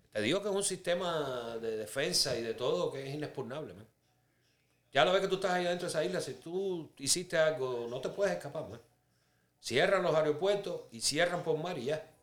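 A man with a Cuban accent and a fairly high pitch speaks at a fairly quick pace, with lively intonation and big swings in loudness. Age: 50s. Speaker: Cuban immigrant sharing life story. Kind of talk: testimony. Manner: casual, conversational.

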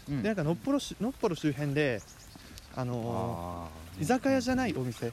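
Delivered at a fairly quick pace, the voice swings very widely in pitch over noticeable background noise. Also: man. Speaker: student podcast host. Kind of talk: casual chat. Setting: outdoors, walking in a park.

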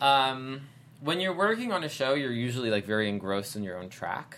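A man is talking. His pace is very fast. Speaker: actor. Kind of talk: casual chat. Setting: studio.

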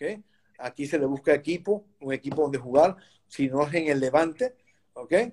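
Pitched fairly high, a man talks in a plain, everyday voice. His pace is moderate and his pitch variation ordinary. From Venezuela, Caracas. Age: 60s. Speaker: goalkeeper coach. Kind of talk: interview.

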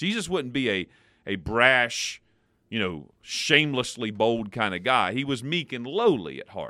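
A man with an American accent and a normal speaking voice, medium-pitched and fairly slow, with lively intonation, in a very clean recording over a silent background. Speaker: pastor. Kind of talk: devotional radio talk, casual chat and teaching.

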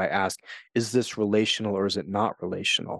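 A man with an American accent speaks at a fairly quick pace in a fairly low, monotone, flat voice, with dry, close sound, no echo and a quiet background. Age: 40s. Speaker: podcast host and author. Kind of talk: solo podcast monologue.

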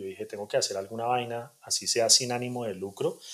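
The man has a plain, everyday voice. He talks at a moderate pace. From Colombia, Bogotá (Suba); early childhood in Cali. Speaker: punk fiction writer. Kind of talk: casual interview.

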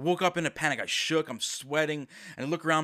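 Heard on a very clean recording with a silent background, a normal speaking voice moves at a fairly quick pace, the sound dry and close with no echo. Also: man. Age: 20s. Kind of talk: devotional podcast talk. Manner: casual, filler-heavy.

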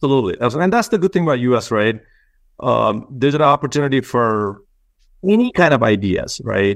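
Here a man talks at a fairly quick pace in a Nepali accent, his medium-pitched voice showing lively intonation. His loudness stays very even against a quiet background. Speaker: company CEO, engineer. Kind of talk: interview.

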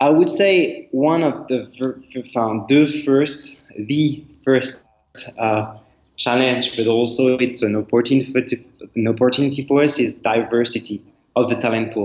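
With a French accent, a man talks at a fairly slow pace, his medium pitch carrying fairly even intonation. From France. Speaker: startup executive. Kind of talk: interview.

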